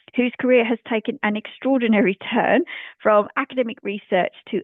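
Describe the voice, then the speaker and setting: An unremarkable speaking voice from a woman, fairly high in pitch, at a moderate pace. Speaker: podcast host. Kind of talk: podcast introduction.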